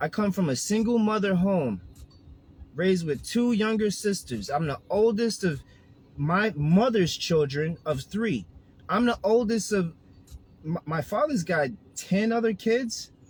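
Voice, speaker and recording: A man's high-pitched, animated, passionate delivery, fairly slow, with lively intonation and long, frequent pauses. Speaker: health and wellness coach. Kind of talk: casual vlog monologue.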